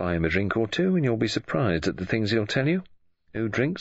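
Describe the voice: Simple, plain reading aloud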